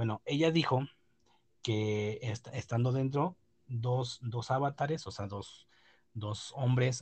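With a Mexican accent, a man speaks very slowly at a medium pitch, somewhat breathy, with ordinary pitch variation. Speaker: podcast host. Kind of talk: casual chat. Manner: halting, many fillers.

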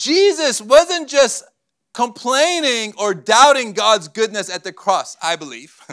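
A man speaks at an extremely high pitch in a bright, sharp tone. His pace is very slow, with very wide pitch swings and big swings in loudness. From Cyprus, Armenian family, born in Beirut. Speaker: guest preacher. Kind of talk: sermon with live interpretation. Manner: short phrases paused for interpreter.

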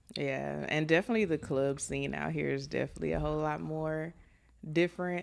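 Against a quiet background, a woman with an American accent speaks at a fairly quick pace. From Texas, Austin area. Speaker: property manager. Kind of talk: casual chat. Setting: studio.

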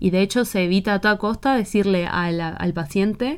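A very slow pace in an Argentine accent, on a very clean recording with a silent background. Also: woman. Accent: Rioplatense Argentine Spanish. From Argentina. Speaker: podcast host. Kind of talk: casual conversational interview.

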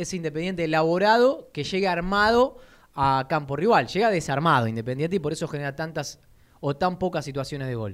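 With a plain, everyday voice, a man talks at a fairly quick pace, his fairly high pitch carrying lively intonation. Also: very clean recording, silent background. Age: 30s. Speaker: football radio host. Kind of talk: sports radio talk show. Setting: radio studio.

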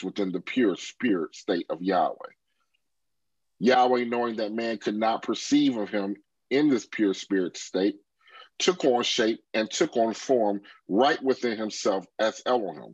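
A plain, everyday voice at a fairly slow pace, with dry, close sound and no echo. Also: man. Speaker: class moderator.

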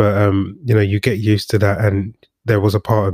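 A man with a plain, everyday voice, fairly low pitch and a fairly quick pace, in dry, close sound with no echo. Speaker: podcast host. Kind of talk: casual interview chat.

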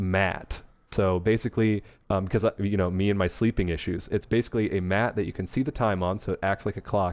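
A man speaks in a normal speaking voice at a fairly quick pace, his fairly low pitch held in fairly even intonation against a quiet background. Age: 30s. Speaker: podcast co-host. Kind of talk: casual chat.

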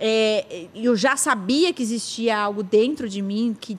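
A woman speaks at a fairly high pitch with ordinary pitch variation. She has an unremarkable speaking voice. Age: 30s. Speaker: podcast host. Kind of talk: casual chat.

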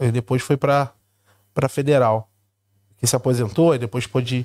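The speaker talks in a Rio de Janeiro accent. The recording is very clean, with a silent background. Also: man. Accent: Carioca Brazilian Portuguese. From Rio de Janeiro, Brazil. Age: 40s. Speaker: immigrant content creator. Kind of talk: casual chat.

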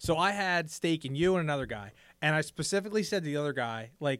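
A man with an ordinary speaking voice, fairly high pitch, ordinary pitch variation and a fairly quick pace, on a very clean recording with a silent background. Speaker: poker podcast co-host. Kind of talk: casual chat. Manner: casual, jokey.

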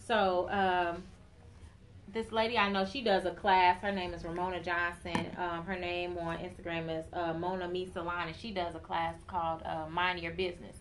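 With an American accent, a woman speaks at a moderate pace in a fairly low, monotone, flat voice against noticeable background noise. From Chicago. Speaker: hairstylist and salon owner. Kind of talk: interview.

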